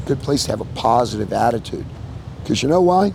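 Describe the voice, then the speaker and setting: Amid noticeable background noise, a man with an American accent speaks at a fairly quick pace with lively intonation. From Colorado, Morrison. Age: 60s. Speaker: longtime local resident. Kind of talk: documentary interview. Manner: casual, halting with fillers.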